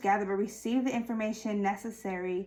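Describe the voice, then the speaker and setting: The woman's fairly high voice stays monotone and flat, with noticeable background noise in the recording. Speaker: tarot reader. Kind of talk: tarot reading. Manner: slow and relaxed; halting, many fillers.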